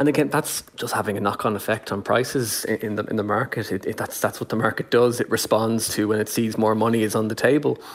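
A man with an Irish accent, fairly low pitch and fairly even intonation, over noticeable background noise. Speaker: business journalist. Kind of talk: radio interview.

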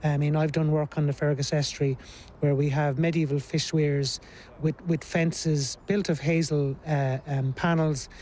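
A man in an Irish accent, fairly high in pitch, at a moderate pace with monotone, flat intonation. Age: 50s. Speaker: archaeology professor. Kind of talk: on-site interview.

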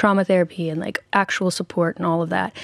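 A woman with an American accent and an unremarkable speaking voice, medium pitch and ordinary pitch variation, in a very clean recording with a silent background and a dry, close sound with no echo. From US, Nashville. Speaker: singer and author. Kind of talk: interview testimony. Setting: radio studio.

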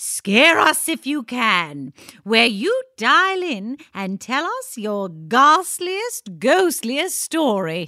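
A woman raises and projects her high-pitched voice in a playful, theatrical tone that is bright and sharp, with very wide pitch swings at a very slow pace on a very clean recording with a silent background. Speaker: comedic radio show co-host.

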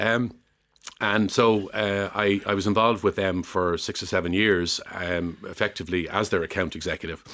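A man in an Irish accent talks at a moderate pace with a bright, sharp tone. His pitch is fairly low and his intonation fairly even. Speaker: former retail executive. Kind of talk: radio interview. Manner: hesitant, many fillers.

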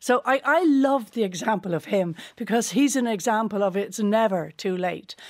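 At a moderate pace with hardly any pauses, a woman uses a normal speaking voice, fairly high in pitch with lively intonation, on a very clean recording with a silent background. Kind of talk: radio discussion.

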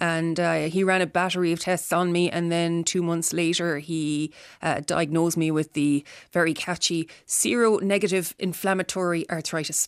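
Speaking in an Irish accent at a moderate pace, a woman keeps a flat, monotone intonation and very even loudness on a very clean recording with a silent background. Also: fairly low pitch for a woman. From Ireland, Tipperary. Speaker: chronic pain patient. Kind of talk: personal testimony interview.

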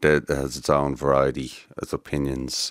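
A man's very deep, low voice with vocal fry, dry and close with no echo. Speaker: artist. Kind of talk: casual chat. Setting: studio.

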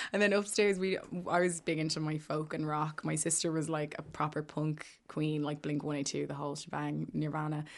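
Against a quiet background, a woman with an Irish accent speaks at a fairly quick pace with hardly any pauses, her very deep, low pitch held in fairly even intonation. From Ireland, Maynooth (County Kildare). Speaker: singer-songwriter. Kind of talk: casual chat. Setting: studio.

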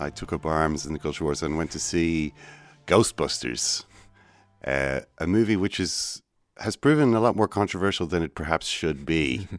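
Speaking at a moderate pace with an Irish accent, a man with a very deep, low pitch and vocal fry comes through a very clean recording with a silent background. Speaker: radio host. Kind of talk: casual chat. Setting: studio.

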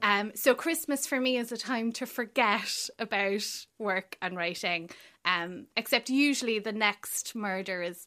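Speaking with an Irish accent, a woman uses a bright, sharp tone at a medium pitch, with lively intonation and big swings in loudness, on a very clean recording with a silent background. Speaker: crime writer. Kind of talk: casual radio chat. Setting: studio.

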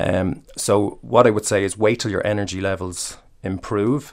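With an Irish accent, a man speaks at a fairly slow pace in a fairly low pitch and fairly even intonation, on a very clean recording with a silent background. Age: 40s. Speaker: personal trainer. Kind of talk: interview. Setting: studio.

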